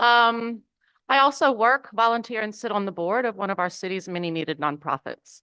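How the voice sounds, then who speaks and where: A woman with a strong Southern US accent speaks at a fairly quick pace, with lively intonation and a fairly high pitch. Her tone is bright and sharp, and the sound is dry and close with no echo against a quiet background. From US South, Mississippi. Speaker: public commenter at city council meeting. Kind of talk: public comment speech. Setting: city council chamber.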